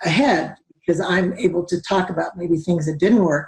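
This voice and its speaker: The voice has a dark, mellow tone, somewhat breathy, at a moderate pace. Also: woman. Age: 60s. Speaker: community organizer. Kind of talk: panel discussion. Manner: halting.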